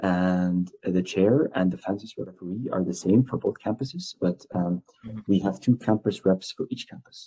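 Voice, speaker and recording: A man with a plain, everyday voice speaks at a moderate pace with hardly any pauses, using a fairly low pitch and ordinary pitch variation. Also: big swings in loudness. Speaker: student campus representative. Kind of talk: interview.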